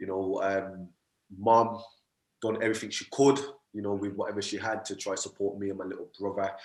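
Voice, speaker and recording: A man with a Birmingham accent talks at a fairly quick pace but leaves long, frequent pauses. His pitch is fairly low and his intonation monotone and flat. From Birmingham, England. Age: 20s. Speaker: motivational speaker and mindset coach. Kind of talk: podcast interview.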